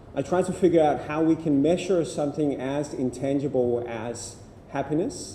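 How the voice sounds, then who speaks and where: With a Danish accent, a man speaks in a fairly high pitch with a dark, mellow tone. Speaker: happiness researcher, keynote speaker. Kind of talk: keynote talk. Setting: university lecture room with audience. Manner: halting with repetitions.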